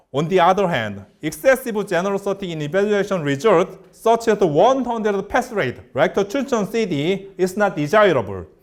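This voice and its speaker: This man has a Korean accent and a high pitch. He speaks at a moderate pace with lively intonation. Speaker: researcher giving a lecture. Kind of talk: lecture. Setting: lecture hall. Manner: halting.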